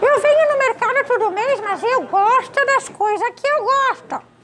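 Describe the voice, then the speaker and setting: In a put-on character voice, a woman squeaks at an extremely high pitch, moving at a moderate pace with very even loudness. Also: ordinary pitch variation. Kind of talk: comic overacting. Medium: comedy sketch. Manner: folksy, stubborn.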